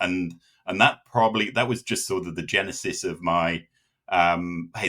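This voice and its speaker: This man speaks with a British accent, his very deep, low pitch carrying a bright, sharp tone. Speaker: data consultant. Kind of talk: interview. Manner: halting, many fillers.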